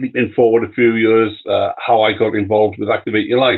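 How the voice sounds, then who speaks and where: A man's medium-pitched voice moves along at a moderate speed. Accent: British. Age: 60s. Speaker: cancer survivor and retiree. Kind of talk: live stream interview. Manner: halting, many fillers.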